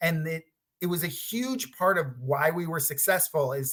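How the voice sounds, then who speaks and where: Here is a man with an unremarkable speaking voice. His pitch is fairly high and his pace fairly slow. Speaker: product designer giving a conference talk. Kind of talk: presentation.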